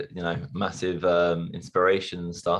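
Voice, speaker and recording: A man with a London accent speaks with a very deep, low pitch. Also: quiet background. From London, England. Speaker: stuntman. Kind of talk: interview.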